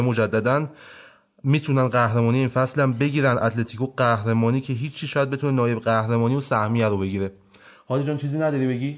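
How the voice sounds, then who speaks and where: This man talks at a very fast pace with fairly even intonation and a medium pitch. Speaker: football podcast co-host. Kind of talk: casual banter, joking debate. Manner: joking, teasing.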